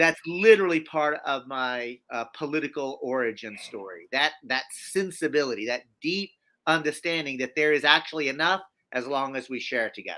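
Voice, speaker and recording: In a very clean recording with a silent background, a bright, sharp voice with a Southern US accent speaks at a moderate pace and ordinary pitch variation. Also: man, fairly high pitch for a man. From US South. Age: 50s. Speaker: activist. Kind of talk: interview.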